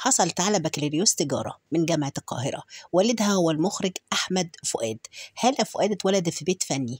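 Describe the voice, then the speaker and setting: The speaker has an Egyptian accent, a somewhat breathy voice and very wide pitch swings, in a dry, close sound with no echo. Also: woman. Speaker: YouTube narrator. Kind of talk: narrated biography with photos. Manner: hesitant with fillers.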